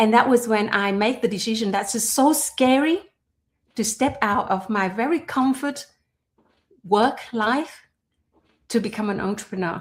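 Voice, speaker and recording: Somewhat breathy and fairly high in pitch, a woman speaks at a moderate pace with ordinary pitch variation and long, frequent pauses. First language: not English. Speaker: entrepreneur and personal development host. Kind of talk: conversational podcast monologue. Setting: livestream. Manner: halting with fillers.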